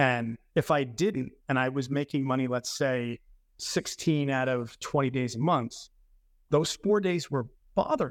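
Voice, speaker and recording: A man with a New York accent in a very clean recording with a silent background. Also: big swings in loudness. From New York City, the Bronx. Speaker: trading firm executive. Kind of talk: interview conversation.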